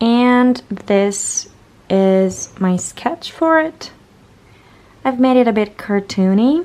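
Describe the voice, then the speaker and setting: A woman with a fairly high voice speaks very slowly, with long, frequent pauses, lively intonation and very even loudness, over noticeable background noise. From Italy. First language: Italian. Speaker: illustrator. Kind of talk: casual vlog.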